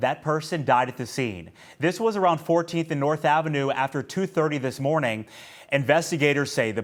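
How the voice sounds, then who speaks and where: Lively intonation from a man with an American accent and an unremarkable speaking voice, fairly high in pitch, on a very clean recording with a silent background. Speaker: TV news reporter and anchor. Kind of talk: TV news reporting and anchoring. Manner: clear, professional anchor delivery.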